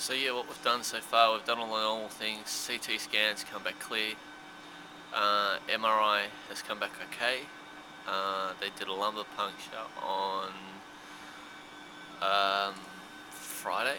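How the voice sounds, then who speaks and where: Spoken at a fairly slow pace in a flat monotone, with long, frequent pauses and noticeable background noise. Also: man, fairly low pitch for a man. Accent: Australian. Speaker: vlogger and stroke patient. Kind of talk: casual video vlog update. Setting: hospital room, handheld camera. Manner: halting, with self-corrections.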